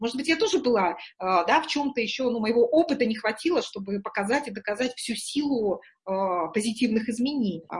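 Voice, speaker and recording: The woman has an unremarkable speaking voice. She talks at a fairly quick pace with a fairly high pitch. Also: lively intonation. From Murmansk, northern Russia. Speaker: executive coach and trainer. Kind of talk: interview.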